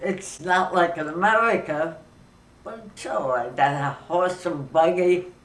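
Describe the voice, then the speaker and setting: A woman's fairly low voice at a very slow pace, with noticeable background noise. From grew up in Europe, Austria. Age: 80s+. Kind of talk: interview answer.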